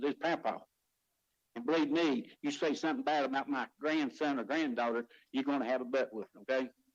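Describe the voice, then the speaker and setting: This man talks at a fairly quick pace in a fairly high pitch. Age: 60s. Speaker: county commissioner. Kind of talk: public meeting statement. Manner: emotional, impassioned.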